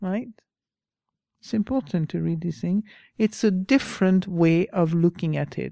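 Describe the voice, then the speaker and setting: Speaking at a fairly slow pace with long, frequent pauses, a woman with a French accent has a fairly low, dark, mellow voice and ordinary pitch variation, recorded very cleanly against a silent background with a dry, close sound and no echo. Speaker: Buddhist teacher. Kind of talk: dharma talk with reading aloud from a book. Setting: talk to a live group in a room. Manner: informal, hesitant with fillers.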